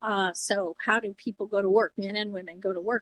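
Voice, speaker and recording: Speaking at a fairly quick pace with a US Midwestern accent, a woman keeps fairly even intonation in a dry, close sound with no echo. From Iowa, US Midwest. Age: 70s. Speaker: former first lady and education advisor. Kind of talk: casual chat. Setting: podcast.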